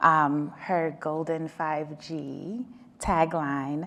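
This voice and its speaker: The speaker is a woman. Her voice sits fairly low in pitch. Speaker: telecom policy panelist. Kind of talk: panel discussion. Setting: conference stage with audience, small room. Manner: loud.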